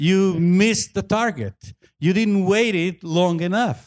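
Here a man speaks at a very slow pace. His pitch is high, with ordinary pitch variation. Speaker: preacher. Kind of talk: sermon. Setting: church with congregation. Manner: halting, with many fillers.

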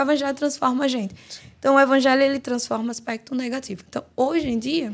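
A woman speaks at a moderate pace. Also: very clean recording, silent background. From Guinea-Bissau, raised in João Pessoa, Brazil. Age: 20s. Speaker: author and theology student. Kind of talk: podcast interview. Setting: studio.

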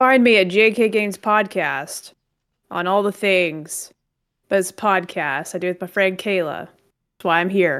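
In a very clean recording with a silent background, a woman with a medium pitch speaks at a fairly slow pace with ordinary pitch variation. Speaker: contestant. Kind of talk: casual, joking game show banter. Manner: animated, self-deprecating.

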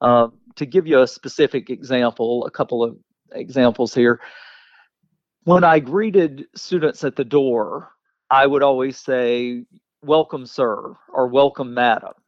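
A man speaks at a fairly slow pace with an Alabama accent. His pitch is medium, with ordinary variation. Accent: US Southern (Alabama). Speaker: teacher and author. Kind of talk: interview.

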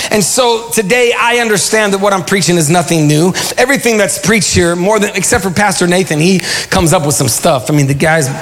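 A man's high-pitched voice at a very fast pace, lively intonation and very even loudness, over noticeable background noise. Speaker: pastor. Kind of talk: sermon. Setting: church. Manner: animated; call-and-response.

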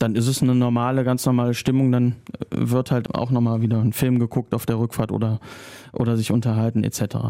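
A man speaks at a fairly quick pace. His intonation stays monotone and flat. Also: medium pitch for a man, very even loudness. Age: 40s. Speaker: club press officer. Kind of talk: casual interview. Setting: studio.

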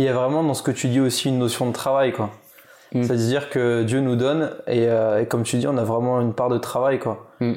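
Speaking in a plain, everyday voice, a man at a medium pitch keeps a fairly quick pace, fairly even intonation and very even loudness. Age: 30s. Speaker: podcast host. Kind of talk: casual interview.

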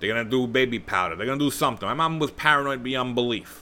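Bright and sharp in tone, a man talks very fast at a medium pitch with ordinary pitch variation. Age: 30s. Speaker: podcast host. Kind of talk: casual solo podcast monologue. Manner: conversational with many fillers. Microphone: new microphone.

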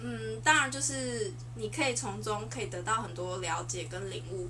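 A woman talks at a moderate pace, with noticeable background noise and audible room echo around her. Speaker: podcast guest discussing dating and self-confidence. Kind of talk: casual chat.

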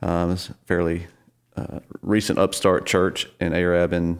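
In a very clean recording with a silent background, a man with a Southern US accent speaks at a very deep, low pitch. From northern Alabama. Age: 40s. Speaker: church worship leader. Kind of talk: casual interview.

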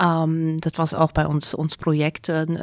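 A woman's very deep, low voice with a German accent, dry and close with no echo, on a very clean recording over a silent background. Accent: German accent in Dutch. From Germany. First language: German (speaking Dutch). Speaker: care organisation director. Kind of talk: interview. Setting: studio, at a table. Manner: halting, many fillers and switches into German.

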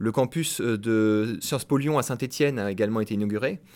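A man speaks at a moderate pace in a medium pitch with ordinary pitch variation. The recording is very clean, with a silent background. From Normandy, Caen. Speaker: university lecturer in geography. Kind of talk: radio interview. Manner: hesitant, many fillers.

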